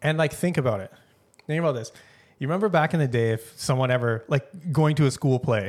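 A man with a Canadian accent speaks very fast at a fairly high pitch, with ordinary pitch variation. He leaves long, frequent pauses, and the recording is very clean with a silent background. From Canada. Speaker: podcast co-host. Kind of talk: casual chat.

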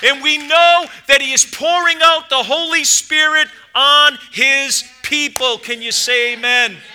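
A man's raised, projected voice, bright and sharp in tone, at a fairly slow pace. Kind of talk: sermon. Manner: fervent, exhortative pulpit delivery with call-and-response "amen" prompts; warm, urgent, rising to an invitational plea.

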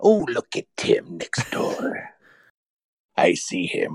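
At a very slow pace, a put-on character voice speaks at an extremely high pitch. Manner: creepy, leering.

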